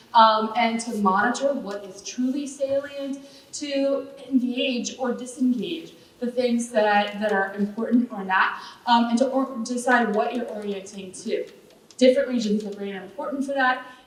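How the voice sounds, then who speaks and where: In a room with audible echo, a woman with a high pitch speaks at a moderate pace, with ordinary pitch variation and big swings in loudness. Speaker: neuroscientist. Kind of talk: panel talk with slides. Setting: theater stage with audience.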